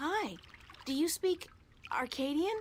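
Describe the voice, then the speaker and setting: In a put-on character voice, a woman squeaks at an extremely high pitch with lively intonation. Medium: video game. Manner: wry, sarcastic.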